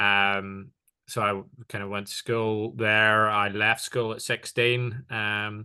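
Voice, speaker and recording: Over a quiet background, a man with a fairly low, bright and sharp voice speaks very slowly in a flat monotone. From Northern Ireland. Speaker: tech partnerships executive. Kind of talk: interview. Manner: many fillers and hesitations.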